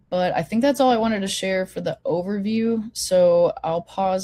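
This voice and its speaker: Speaking at a moderate pace, a woman has a somewhat breathy voice with a dark, mellow tone. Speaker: online forum host. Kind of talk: presentation to an online meeting. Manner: casual, filler-heavy.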